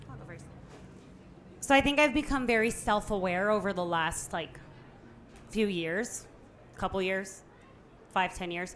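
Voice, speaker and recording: With lively intonation and big swings in loudness, a woman speaks at medium pitch and a moderate pace, leaving long, frequent pauses. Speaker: podcast guest, businesswoman. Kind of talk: live podcast conversation. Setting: live podcast event with audience.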